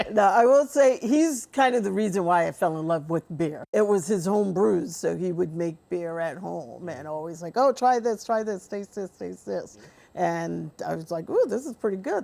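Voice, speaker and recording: With a New York accent, a woman speaks at medium pitch and a moderate pace with hardly any pauses. Her tone is dark and mellow, and her intonation is lively. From New York, Jamaican household. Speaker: brewery co-owner. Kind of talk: interview.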